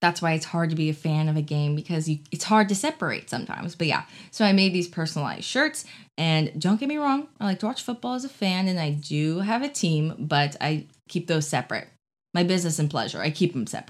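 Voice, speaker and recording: A woman talks at a very fast pace in a fairly low pitch. Her intonation is lively. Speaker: podcast host. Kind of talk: casual podcast monologue. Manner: fast talker; chatty, laughs often.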